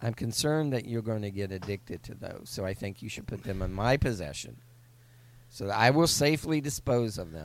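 A man with an ordinary speaking voice talks at a fairly quick pace and a fairly low pitch, with lively intonation and big swings in loudness. The recording is very clean with a silent background. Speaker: podcast host. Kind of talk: casual comedic chat.

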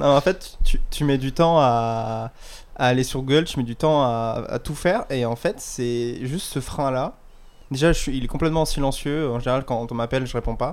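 A man's medium-pitched voice moves at a moderate tempo, its pitch varying in an ordinary way. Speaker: podcast co-host. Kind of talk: casual chat. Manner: calm.

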